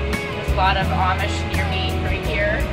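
Loud music fills the background. Over it, a woman talks. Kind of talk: casual vlog chat. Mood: calm, content. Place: farm machine. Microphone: phone near.

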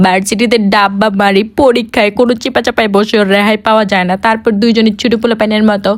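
A woman speaks at a fairly high pitch with very even loudness and a monotone, flat intonation. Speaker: vlogger, university student. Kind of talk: vlog voiceover narration.

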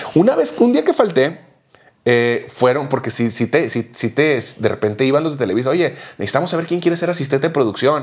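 A man talks at a fairly quick pace, his fairly high voice full of lively intonation. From Mexico. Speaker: podcast co-host. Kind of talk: casual chat. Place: home room. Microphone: lapel.

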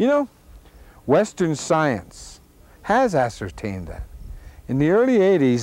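In an American accent, a man talks at a fairly slow pace with lively intonation, the sound dry with no echo. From Oglala Sioux, United States. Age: 50s. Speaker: activist and actor. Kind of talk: unscripted monologue. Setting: outdoors. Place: open country.

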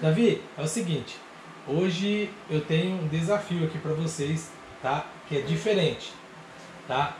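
Speaking very slowly, a man uses a high pitch with ordinary variation. Audible room echo and light background noise are present. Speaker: family vlogger. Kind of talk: casual vlog chat.

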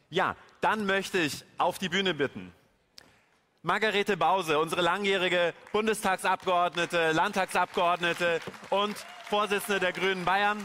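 A raised, projected voice at a moderate pace, with fairly even intonation, very even loudness, long, frequent pauses and crowd noise in the background. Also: man, high pitch for a man. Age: 30s. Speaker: event moderator. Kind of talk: stage interview. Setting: stage with audience. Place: hall. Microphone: handheld.

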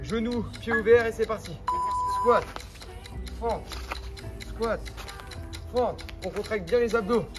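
Clear music in the background behind a very slow pace. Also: man. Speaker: fitness coach. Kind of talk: workout instruction. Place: street.

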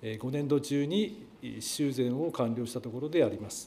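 A man talks at a fairly slow pace in a dark, mellow tone with lively intonation. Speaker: education board official; city official answering council question. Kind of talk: formal prepared answer. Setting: council chamber. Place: hall. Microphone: podium.

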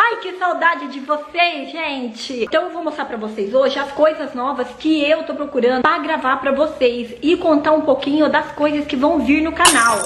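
A high-voiced woman with audible room echo. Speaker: mom vlogger. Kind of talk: casual vlog chat. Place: kitchen. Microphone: phone near.

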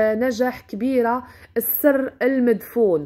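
A woman with a Moroccan accent speaks at a high pitch in a dark, mellow tone. Her pace is fairly slow and her intonation fairly even. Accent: Moroccan Darija. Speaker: YouTuber and online seller. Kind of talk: celebrity profile narration; sales pitch.

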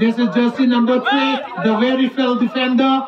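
A man with an extremely high pitch talks over noticeable background noise. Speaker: football commentator. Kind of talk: live football commentary. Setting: football ground, local tournament. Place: stadium. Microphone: pa.

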